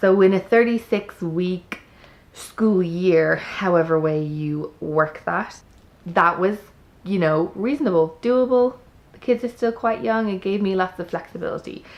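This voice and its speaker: A woman with an Irish accent, medium pitch, ordinary pitch variation and a fairly slow pace. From Ireland. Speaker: homeschooling parent, vlogger. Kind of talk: product review. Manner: chatty.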